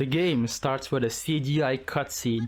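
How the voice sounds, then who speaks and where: A man speaks with a non-native accent. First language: not English. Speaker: gaming YouTuber. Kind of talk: game commentary narration. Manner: casual, jokey. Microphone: poor audio quality.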